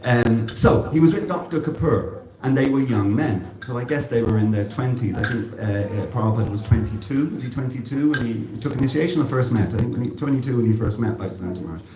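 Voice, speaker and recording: A man at medium pitch, talking very fast with hardly any pauses and ordinary pitch variation, amid audible room echo and noticeable background noise. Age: 60s. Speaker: devotional speaker. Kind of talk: religious talk. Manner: halting.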